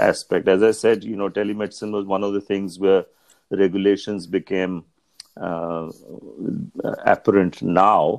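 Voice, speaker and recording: The man's voice is fairly low, flat and monotone, at a moderate pace. Long pauses come often, and the sound is dry and close with no echo. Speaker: ophthalmologist. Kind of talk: interview. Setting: remote call.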